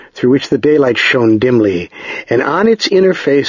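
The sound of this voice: Someone reads without forcing the voice. The intonation is lively.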